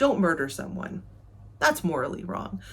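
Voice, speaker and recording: A woman speaks with an American accent and vocal fry. Her pitch swings very widely. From United States. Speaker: booktuber. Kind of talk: video essay.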